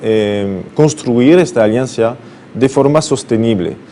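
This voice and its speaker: Very slow speech from a man, with noticeable background noise. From France, Brittany. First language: French (speaking Spanish). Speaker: business consultant. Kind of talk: TV interview. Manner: halting, many fillers.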